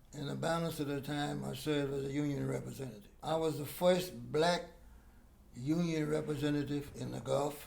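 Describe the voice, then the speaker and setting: A man talks at a moderate pace with an American accent. There is audible room echo. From Texas, Galveston. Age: 80s+. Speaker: war veteran. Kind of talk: interview. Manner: halting.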